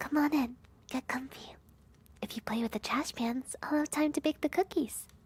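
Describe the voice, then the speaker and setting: A woman does a put-on character voice, high in pitch. She speaks at a moderate pace. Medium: virtual streamer. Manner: flustered, good-natured.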